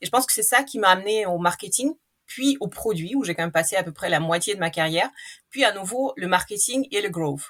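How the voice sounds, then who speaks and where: Lively in intonation, a woman talks at a fairly quick pace and medium pitch. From Russia. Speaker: marketing executive. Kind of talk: podcast interview. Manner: hesitant with fillers.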